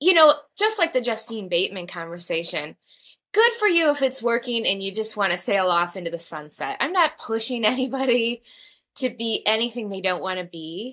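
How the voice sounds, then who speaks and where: A woman at a fairly high pitch with very wide pitch swings, at a moderate pace. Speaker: podcast co-host. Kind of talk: casual chat. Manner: soft-spoken.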